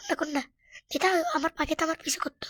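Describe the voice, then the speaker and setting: Her pitch is extremely high for a woman, and the sound is dry and close with no echo. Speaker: gaming streamer. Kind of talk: gameplay commentary. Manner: animated.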